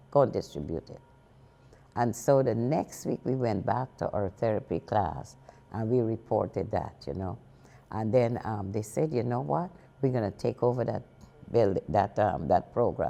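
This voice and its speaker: A woman speaks at a moderate pace in a very deep, low voice with a dark, mellow tone and lively intonation. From Guyana. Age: 80s+. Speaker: senior center executive director. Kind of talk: interview answer.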